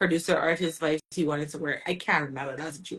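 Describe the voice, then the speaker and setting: In a Bajan accent, a woman talks with a bright, sharp tone. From Barbados. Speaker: soca singer. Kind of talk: casual interview.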